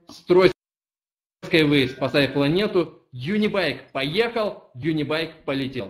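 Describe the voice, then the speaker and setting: A man with fairly high pitch, lively intonation and a very slow pace. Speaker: company representative; webinar host. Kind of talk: live report. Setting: on location video link. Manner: excited. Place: office. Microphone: webcam.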